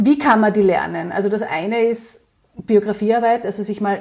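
With a dark, mellow tone, a woman talks at a fairly high pitch. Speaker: psychological counsellor and resilience coach. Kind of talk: interview.

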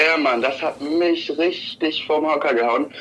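The speech comes at a fairly slow pace. Noticeable background noise runs through it. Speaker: guest calling in to podcast. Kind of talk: casual chat.

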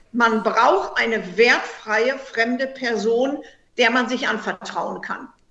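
Her voice sits fairly high for a woman, and she talks at a very slow pace with fairly even intonation. There is audible echo from the room. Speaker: heartbreak counselor and author. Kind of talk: interview.

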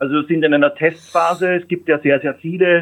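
A man with a plain, everyday voice, fairly high in pitch, with ordinary pitch variation and a moderate pace. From Austria. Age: 50s. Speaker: mobility industry executive. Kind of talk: interview.

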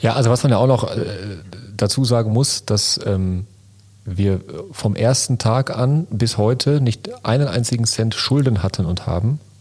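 A man talks at a fairly slow pace in a somewhat breathy voice, his loudness very even throughout. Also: medium pitch for a man, ordinary pitch variation. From Lünen, Ruhr area, Germany. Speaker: entrepreneur and podcast co-host. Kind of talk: casual chat.

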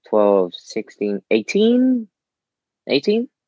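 A man with a London accent in a dry, close sound with no echo. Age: 20s. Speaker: calisthenics athlete and coach. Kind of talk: casual chat. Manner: animated.

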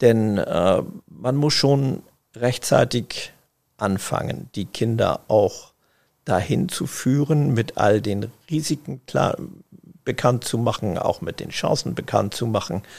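A man's very slow delivery, medium in pitch, with ordinary pitch variation. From northern Germany, Schleswig-Holstein (Eckernförde). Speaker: family business managing director. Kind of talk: interview. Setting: tower room at company office.

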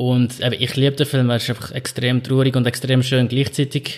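A man at medium pitch and a moderate pace, in a flat monotone. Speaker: podcast co-host. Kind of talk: casual chat.

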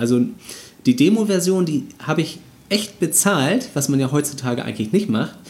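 Using very wide pitch swings, a man with a fairly high pitch speaks at a moderate pace. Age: 30s. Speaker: video game podcast host. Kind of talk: casual chat.

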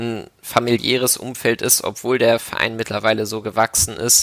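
The voice has a bright, sharp tone and a moderate pace. Its intonation is monotone and flat. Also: man. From Germany, Hamburg. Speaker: medical student volunteer. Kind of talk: casual interview. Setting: video call from home.

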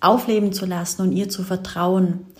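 A woman's somewhat breathy voice moves at a fairly slow pace with monotone, flat intonation. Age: 20s. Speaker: business coach and podcast host. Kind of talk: solo podcast monologue.

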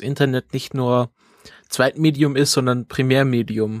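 Here is a man with a plain, everyday voice at medium pitch and fairly even intonation. He speaks at a fairly slow pace, dry and close with no echo on a very clean recording with a silent background. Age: 30s. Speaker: podcast host. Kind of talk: casual chat.

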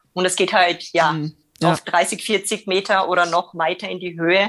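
A woman speaks with an Austrian accent at a fairly low pitch. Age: 30s. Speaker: radio co-host. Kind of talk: casual chat. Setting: video call.

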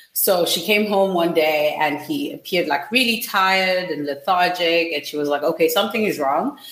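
With hardly any pauses, a woman speaks at a moderate pace in a fairly low pitch with lively intonation, against noticeable background noise. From Zimbabwe. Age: 20s. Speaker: startup founder. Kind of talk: interview.

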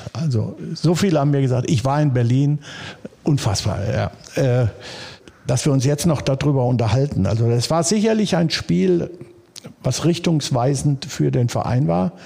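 Over noticeable background noise, a man speaks at a medium pitch and a moderate pace, with lively intonation and very even loudness. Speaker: former footballer and stadium announcer. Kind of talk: casual interview. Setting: club office.

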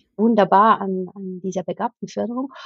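At a fairly quick pace, a woman speaks in a somewhat breathy voice of medium pitch. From Switzerland. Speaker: escape game company owner and teacher trainer. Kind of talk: interview.

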